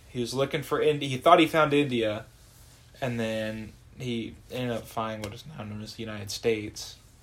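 A normal speaking voice from a man with an American accent, medium pitch, ordinary pitch variation, a fairly quick pace and big swings in loudness. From Norman, Oklahoma. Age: 20s. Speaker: college baseball player. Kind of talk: casual chat.

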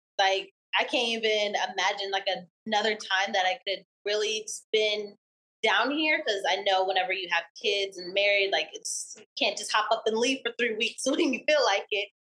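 An ordinary speaking voice belongs to this woman, pitched in the medium range. She keeps a moderate pace with ordinary pitch variation. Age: 20s. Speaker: small business owner. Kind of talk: casual interview.

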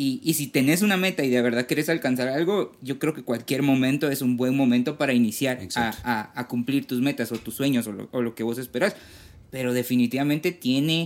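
A man's voice, a normal speaking voice, sits at a medium pitch and shows ordinary pitch variation. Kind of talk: casual faith discussion.

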